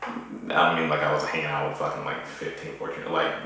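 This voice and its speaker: A man speaks over noticeable background noise. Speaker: poet. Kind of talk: casual talk to camera.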